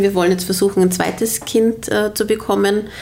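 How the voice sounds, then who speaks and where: A woman talks over noticeable background noise. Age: 30s. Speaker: interviewee, pregnant mother. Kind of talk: casual interview chat. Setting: her living room.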